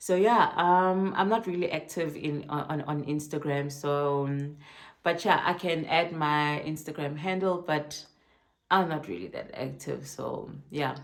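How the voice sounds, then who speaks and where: In a room with audible echo, a woman speaks at a very deep, low pitch and a fairly slow pace. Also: ordinary pitch variation. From South Africa, Durban. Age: 30s. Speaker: vlogger. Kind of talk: casual talk to camera. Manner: slow, with many fillers.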